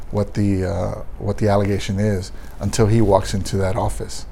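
A man's fairly low, flat, monotone voice with an American accent, fairly quick in pace, with audible room echo. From Texas, San Antonio. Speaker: police union president. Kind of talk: interview.

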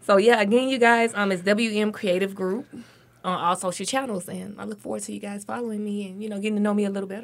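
Very fast, flat, monotone speech from a woman at medium pitch, in an American accent. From Alabama. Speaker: marketing entrepreneur. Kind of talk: radio panel discussion. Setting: studio.

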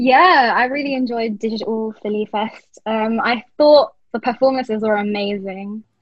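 A woman at a fairly high pitch, with fairly even intonation and a moderate pace. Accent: British. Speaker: law trainee, festival committee member. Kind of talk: casual chat.

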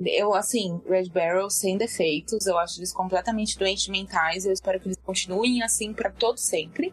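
Noticeable background noise sits behind a woman speaking at a medium pitch and a moderate pace. Her intonation stays fairly even, with hardly any pauses. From São Paulo, Brazil. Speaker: gaming podcaster and streamer. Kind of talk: casual chat.

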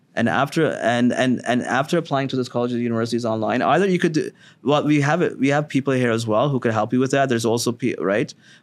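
With a Canadian accent, a man speaks very fast with hardly any pauses and very even loudness over a quiet background. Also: medium pitch for a man, ordinary pitch variation. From Ontario, Canada (Sarnia). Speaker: immigration lawyer. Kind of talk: interview. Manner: halting, many fillers.

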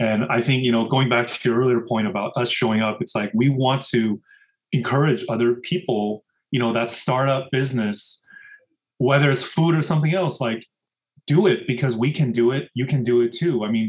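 This man speaks with a General American accent at a fairly quick pace. His voice is somewhat breathy, medium in pitch, with ordinary pitch variation. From US Midwest (Rochester, Minnesota), then California. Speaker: food entrepreneur. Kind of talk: interview conversation. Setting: remote call.

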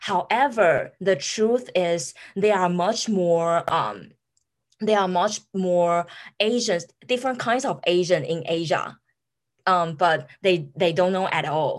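Speaking very slowly with a Taiwanese accent, a woman with a fairly low pitch comes through on a very clean recording with a silent background. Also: ordinary pitch variation.

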